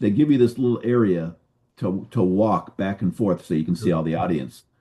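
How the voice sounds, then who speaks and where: Against a quiet background, a man with an American accent talks at a fairly quick pace in a dark, mellow tone with very wide pitch swings. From San Francisco, California. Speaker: retired highway patrol officer, suicide prevention speaker. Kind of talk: interview storytelling. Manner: fast.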